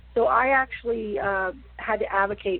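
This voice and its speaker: The speaker is a woman with an American accent. Her pitch contour stays fairly level. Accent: West Virginia accent, shows more when tired. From West Virginia. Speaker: wrestling promotion owner. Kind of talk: interview.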